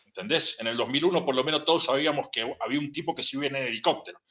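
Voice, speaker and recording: A man speaks very fast with an Argentine accent. His pitch is fairly high. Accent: Rioplatense Argentine Spanish. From Buenos Aires, Argentina. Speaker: interviewee. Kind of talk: casual interview rant. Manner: animated.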